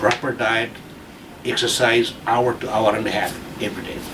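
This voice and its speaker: A man speaks with audible room echo. Noticeable background noise is present too. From Bangladesh. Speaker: retired army colonel. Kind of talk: casual chat. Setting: leaving hospital.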